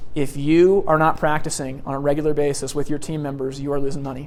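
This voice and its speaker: A man with a fairly high voice talks very fast in fairly even intonation, with audible room echo around him. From US Pacific Northwest, Portland Oregon. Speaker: sales trainer. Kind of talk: seminar lecture. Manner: loud and fast.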